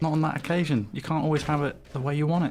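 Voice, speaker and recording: The speaker has a southern English accent. The pace is fairly quick. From southern England, Oxfordshire. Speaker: esports commentator. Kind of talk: live commentary.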